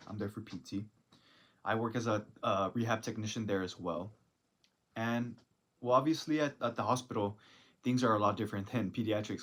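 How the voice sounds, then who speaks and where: Recorded very cleanly against a silent background, a man with an American accent talks at a moderate pace with fairly even intonation. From South Texas (Rio Grande Valley). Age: 20s. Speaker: college student and physical therapy technician. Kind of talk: casual self-introduction monologue. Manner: unscripted, halting with fillers.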